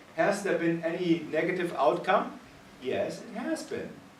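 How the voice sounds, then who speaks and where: With a German accent, a man speaks at a high pitch and a moderate pace. The room echo is audible and there is noticeable background noise. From Germany. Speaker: physician and ethics panelist. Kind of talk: panel discussion. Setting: conference meeting. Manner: animated.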